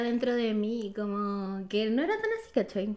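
A woman with a Chilean accent. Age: 20s. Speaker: photographer. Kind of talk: testimony.

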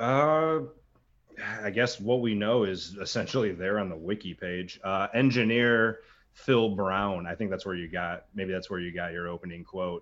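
A man with a plain, everyday voice talks at a moderate pace, with ordinary pitch variation. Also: fairly low pitch for a man. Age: 30s. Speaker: drummer. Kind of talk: casual chat.

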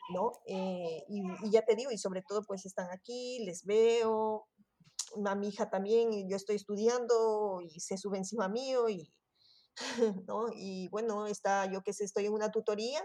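Dark and mellow in tone, a woman's voice sits at a medium pitch. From Ecuador, Quito. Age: 40s. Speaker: sociology student. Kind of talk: interview. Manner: halting.

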